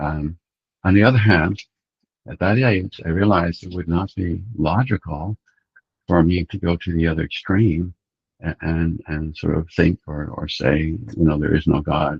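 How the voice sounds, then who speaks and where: A somewhat breathy man's voice, very deep and low in pitch. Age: 70s. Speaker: spiritual teacher. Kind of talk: interview. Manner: hesitant, many fillers.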